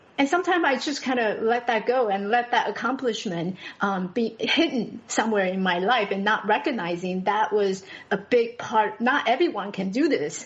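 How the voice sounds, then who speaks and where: Over noticeable background noise, a woman with a Taiwanese accent uses lively intonation at a fairly high pitch and a moderate pace. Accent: Taiwanese Mandarin-accented English. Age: 40s. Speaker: podcast guest. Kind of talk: personal testimony in interview. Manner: halting, many fillers and restarts.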